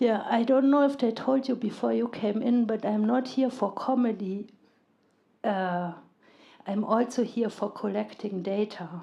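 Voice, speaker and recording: Her pitch is fairly high, with a dark, mellow tone and a German accent. The woman talks at a fairly slow pace. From Germany. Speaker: stand-up comedian. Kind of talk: live stand-up comedy set. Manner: monotonous, deadpan.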